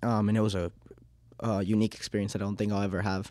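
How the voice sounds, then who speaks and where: Very fast speech comes from a man with a fairly low pitch and a dark, mellow tone. The recording is very clean, with a silent background. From Uruguay, raised in Miami then Massachusetts. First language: Spanish. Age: 20s. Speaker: cleaning business owner. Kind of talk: interview. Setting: studio. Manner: many filler ums, conversational.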